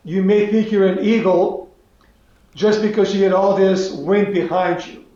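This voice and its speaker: In a room with audible echo, a man speaks at a moderate pace and high pitch, his intonation flat and monotone. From North Macedonia (Skopje). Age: 70s. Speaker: business executive. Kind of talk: interview. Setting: video call.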